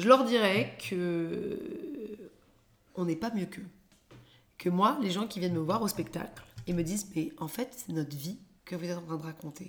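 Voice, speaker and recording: The delivery is fairly slow with long, frequent pauses and a somewhat breathy quality. Intonation is lively and the tone animated. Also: woman, medium pitch for a woman. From London, England (raised), born in Paris. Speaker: comedian, former business lawyer. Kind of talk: casual chat. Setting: at home.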